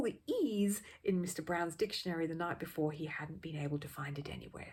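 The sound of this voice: A woman speaks at a fairly quick pace, her tone slightly mellow with a slightly husky edge.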